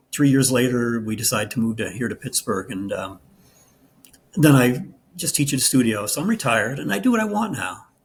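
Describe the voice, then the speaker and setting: Talking at a fairly quick pace, a man with a medium pitch sounds somewhat breathy, his intonation lively. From New England. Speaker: meditation and yoga teacher. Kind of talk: interview. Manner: halting, many fillers and restarts.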